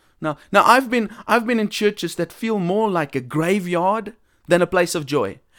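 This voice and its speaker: A man's high-pitched voice with ordinary pitch variation, very cleanly recorded against a silent background. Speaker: evangelist podcast host. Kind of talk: religious talk monologue. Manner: casual.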